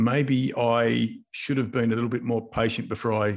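Monotone, flat intonation marks a man's medium-pitched voice with an Australian accent at a moderate pace. The recording is very clean, with a silent background. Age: 50s. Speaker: business coach and mentor. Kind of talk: casual interview.

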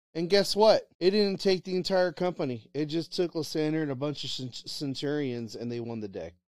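A man speaks at a fairly quick pace in a fairly high voice, his tone animated and his intonation lively, on a very clean recording with a silent background. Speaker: co-host. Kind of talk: casual banter. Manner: animated, rant-like.

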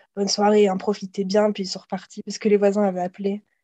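Speaking at a very fast pace, a woman uses a medium pitch, and the sound is dry and close with no echo. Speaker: exchange student, podcast co-host. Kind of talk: casual chat.

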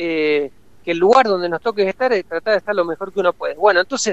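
This man talks with a high pitch. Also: dry, close sound with no echo. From Argentina, Córdoba. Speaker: photographer. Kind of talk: interview.

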